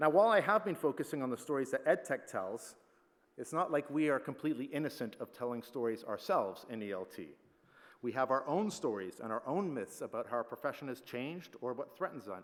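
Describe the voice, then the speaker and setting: In a very clean recording with a silent background, a man talks at a very fast pace, his fairly high voice making very wide pitch swings. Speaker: plenary conference speaker, teacher trainer. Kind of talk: conference plenary talk.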